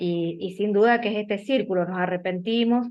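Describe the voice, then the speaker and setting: A woman in an Argentine accent, medium pitch, fairly even intonation and a moderate pace. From Argentina, Mendoza. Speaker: bible study participant. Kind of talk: group discussion.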